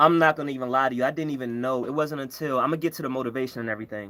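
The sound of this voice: A bright, sharp tone with a strong Baltimore accent and ordinary pitch variation. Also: man. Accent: thick Baltimore.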